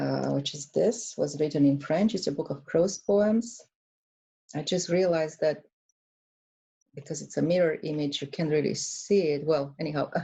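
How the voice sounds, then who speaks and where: In a Romanian accent, a woman speaks at a very deep, low pitch with vocal fry and ordinary pitch variation. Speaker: author. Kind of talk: book presentation. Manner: hesitant, many fillers.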